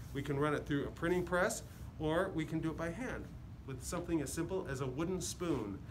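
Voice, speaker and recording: A man with an American accent talks at a fairly quick pace and a fairly high pitch. His pitch varies in an ordinary way, and background noise is noticeable. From Chicago area. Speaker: painter and printmaker. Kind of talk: tutorial. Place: hall. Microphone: phone near.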